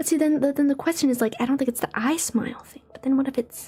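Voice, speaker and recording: A woman mumbles her words. Music plays in the background. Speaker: vtuber streamer. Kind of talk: casual live stream chat. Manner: mumbling; halting.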